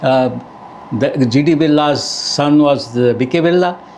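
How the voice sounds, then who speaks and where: The speech comes at a fairly slow pace with ordinary pitch variation, set against audible room echo and noticeable background noise. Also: man. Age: 70s. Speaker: university registrar, former banker. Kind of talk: podcast interview.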